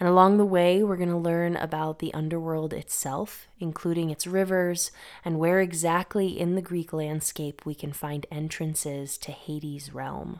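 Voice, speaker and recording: Monotone, flat delivery in an American accent at a moderate pace, with hardly any pauses, in a very clean recording with a silent background. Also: woman, fairly low pitch for a woman. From Massachusetts, Northeast US. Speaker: podcast host on mythology and herbalism. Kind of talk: scripted narration.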